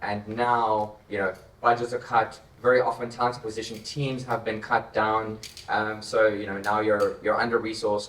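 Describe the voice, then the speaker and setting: Noticeable background noise sits behind a man with a South African accent. He speaks at a moderate pace and medium pitch in monotone, flat intonation. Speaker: tech company co-founder. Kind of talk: panel discussion.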